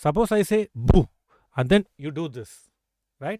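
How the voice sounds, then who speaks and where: In a South Indian accent, a man speaks at a very slow pace with very wide pitch swings. The recording is very clean, with a silent background and a dry, close sound with no echo. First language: Tamil or Telugu. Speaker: chess grandmaster and coach. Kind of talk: live stream chess lesson. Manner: frequent 'okay' fillers.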